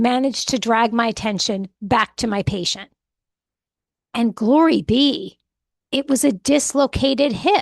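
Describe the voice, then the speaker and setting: In a put-on character voice that is hoarse, the speaker moves at a moderate pace with ordinary pitch variation, and the sound is dry and close with no echo. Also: woman. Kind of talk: audiobook narration. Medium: read story.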